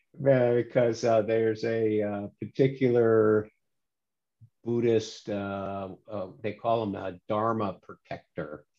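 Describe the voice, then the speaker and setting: A man's dark, mellow voice at medium pitch unfolds at a very slow pace with fairly even intonation. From moved around the world as a Navy child. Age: 60s. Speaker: retired engineer, meditation practitioner. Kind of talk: interview. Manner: halting, with fillers.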